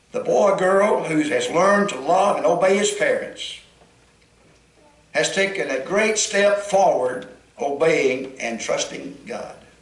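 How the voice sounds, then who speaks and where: A man with a Southern US accent speaks at a fairly slow pace. Noticeable background noise and audible room echo fill the recording. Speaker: pastor. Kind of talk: sermon. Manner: holding back volume.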